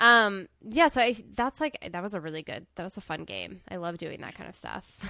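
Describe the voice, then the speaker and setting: A woman speaks with lively intonation, a bright, sharp tone and vocal fry. Her loudness swings widely. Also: medium pitch for a woman, moderate pace. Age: 20s. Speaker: podcast co-host. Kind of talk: casual chat. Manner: animated.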